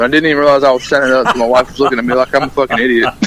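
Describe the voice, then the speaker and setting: Noticeable background noise sits behind a man's voice. He speaks at medium pitch with a Southern US accent. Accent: Southern US country accent, moderate. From US South (rural Alabama). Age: 20s. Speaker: country musician and army sergeant. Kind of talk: radio interview.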